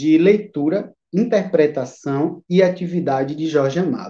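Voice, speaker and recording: At a very slow pace, a man speaks in a high pitch. His tone is dark and mellow. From Bahia, Brazil. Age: 30s. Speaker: teacher and literature researcher. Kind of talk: interview on a live stream. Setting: online live stream.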